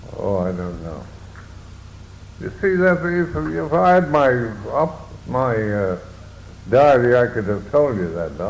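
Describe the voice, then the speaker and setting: At a very slow pace, a man of medium pitch talks with very wide pitch swings and long, frequent pauses, while noticeable background noise runs behind him. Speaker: war veteran. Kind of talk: interview answer.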